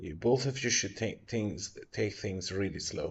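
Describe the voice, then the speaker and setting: In a non-native accent, a man speaks at a fairly slow pace with a fairly low, somewhat breathy voice and ordinary pitch variation. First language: not English. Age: 30s. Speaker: tarot reader streamer. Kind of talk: live stream tarot reading. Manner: casual.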